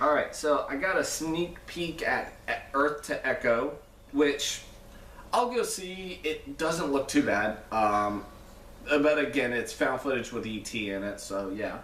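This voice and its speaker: A man speaks fairly slowly, and both audible room echo and noticeable background noise can be heard. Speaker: movie reviewer. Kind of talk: casual film review vlog. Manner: animated.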